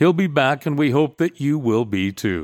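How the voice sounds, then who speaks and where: In a plain, everyday voice, a man speaks at a fairly slow pace with medium pitch and lively intonation, in a dry, close sound with no echo. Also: very clean recording, silent background. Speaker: show announcer. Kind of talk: scripted intro and outro.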